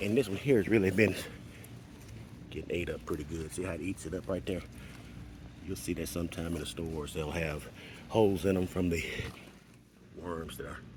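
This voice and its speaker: A very deep, low-pitched, somewhat breathy man at a fairly quick pace, with ordinary pitch variation and long, frequent pauses. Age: 60s. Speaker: gardener. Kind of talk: tutorial. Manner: casual.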